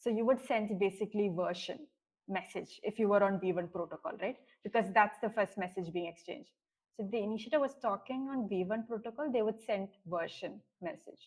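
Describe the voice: A woman talks at a fairly quick pace in a medium pitch, her tone slightly mellow with a slightly husky edge and ordinary pitch variation.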